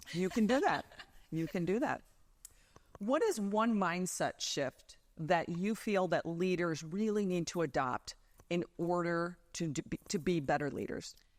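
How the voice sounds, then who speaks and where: A woman talks in a plain, everyday voice, fairly low in pitch. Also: ordinary pitch variation, fairly slow pace. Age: 50s. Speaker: talk show co-host and coach. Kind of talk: interview.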